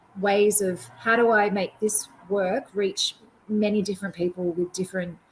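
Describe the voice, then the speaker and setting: A woman speaks at a moderate pace with an Australian accent, her medium-pitched voice somewhat breathy. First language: Auslan (sign language). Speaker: performance artist. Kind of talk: Q&A after keynote. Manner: hesitant, many fillers.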